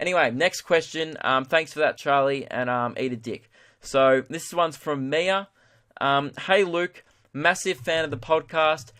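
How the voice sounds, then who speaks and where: A man with an Australian accent, bright and sharp in tone, fairly slow, with ordinary pitch variation over a quiet background. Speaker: comedian, podcast host. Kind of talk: casual podcast monologue, answering listener questions. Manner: casual, many fillers.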